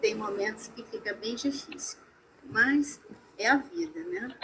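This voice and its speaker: Amid noticeable background noise, a woman talks very slowly with very wide pitch swings. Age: 60s. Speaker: massage therapist. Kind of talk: online talk. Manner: halting.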